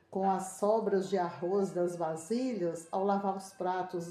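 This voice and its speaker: Very slow speech from a woman at medium pitch, with audible room echo and noticeable background noise. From Brazil, rural northeast Minas Gerais. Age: 60s. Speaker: interviewee. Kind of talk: interview.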